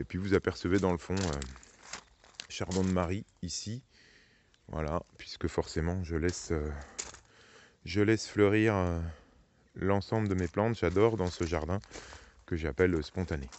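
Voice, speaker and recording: Soft-spoken and very deep in pitch, a man talks fairly slowly with ordinary pitch variation and long, frequent pauses. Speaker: gardening youtuber. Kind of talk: garden tour tutorial. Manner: hesitant with many fillers.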